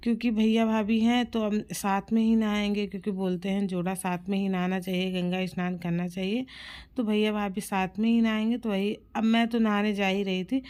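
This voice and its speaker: A woman's medium-pitched voice stays monotone and flat in a very clean recording with a silent background. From Uttar Pradesh, Prayagraj. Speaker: vlogger. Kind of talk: casual vlog. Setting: outdoors at river bank.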